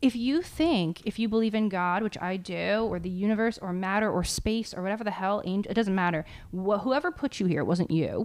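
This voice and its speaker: In a plain, everyday voice, a woman with an American accent speaks at a fairly quick pace and medium pitch, with ordinary pitch variation, on a very clean recording with a silent background. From US Northeast, New Jersey. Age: 30s. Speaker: mindfulness coach. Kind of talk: casual chat.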